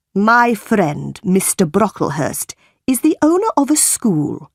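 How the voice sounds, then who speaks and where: In a put-on character voice, a woman with a medium pitch talks at a fairly slow pace, swinging her pitch very widely while keeping her loudness very even. The sound is dry and close, with no echo. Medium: read story. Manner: cold, stern.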